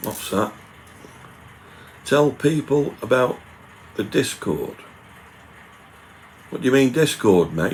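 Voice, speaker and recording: Speaking at a very slow pace with long, frequent pauses, a man uses a medium pitch over noticeable background noise. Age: 60s. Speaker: YouTuber doing food reviews. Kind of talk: live stream chat reading viewer comments.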